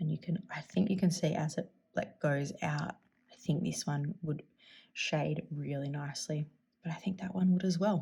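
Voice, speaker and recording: Somewhat breathy, a woman speaks at a moderate pace with a fairly low pitch. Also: ordinary pitch variation. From Australia. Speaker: fountain pen YouTuber. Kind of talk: casual tutorial-style vlog. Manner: upward inflection at sentence ends.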